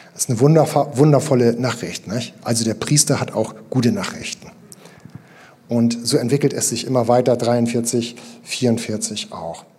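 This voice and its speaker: A man speaks at medium pitch and a fairly slow pace with fairly even intonation, over noticeable background noise. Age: 50s. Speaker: pastor. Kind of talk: sermon. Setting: church.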